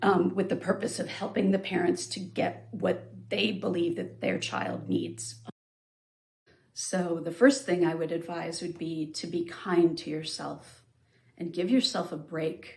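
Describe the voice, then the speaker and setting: A woman speaks with a fairly low pitch and vocal fry. Her intonation is lively, and her pace is fairly slow. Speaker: special education parent advocate. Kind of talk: interview. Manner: halting, many fillers.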